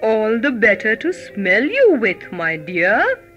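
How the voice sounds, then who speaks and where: A female-sounding, croaky put-on character voice with a fairly high pitch speaks at a fairly slow pace over clear music in the background. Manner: sly, hungry.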